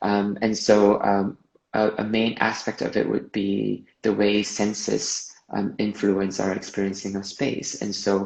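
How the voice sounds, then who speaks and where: Speaking fairly slowly with a slight Malaysian accent, a man keeps a fairly low, flat, monotone delivery. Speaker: movement artist. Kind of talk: interview.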